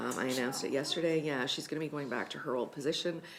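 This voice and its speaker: Audible room echo surrounds a woman whose very deep, low voice races along at a very fast pace with lively intonation. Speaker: regional emergency management coordinator. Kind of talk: staff report to council. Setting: council meeting. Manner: many filler ums.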